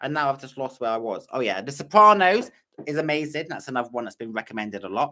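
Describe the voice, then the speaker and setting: With a British accent, a man speaks very fast in a bright, sharp tone at medium pitch. His intonation is lively, and his loudness swings widely. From Britain. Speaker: reaction youtuber. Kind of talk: live stream chat. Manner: casual, hesitant.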